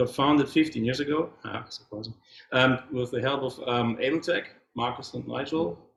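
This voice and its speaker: This man talks at a medium pitch in a German accent. His voice is somewhat breathy. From Germany. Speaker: software developer. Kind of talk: conference talk. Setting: meetup with audience.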